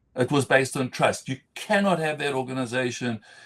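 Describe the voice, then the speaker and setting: In a very clean recording with a silent background, the speech moves at a fairly quick pace with ordinary pitch variation. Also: man. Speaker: entrepreneur and business leader. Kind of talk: live interview conversation. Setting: LinkedIn live stream. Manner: fast.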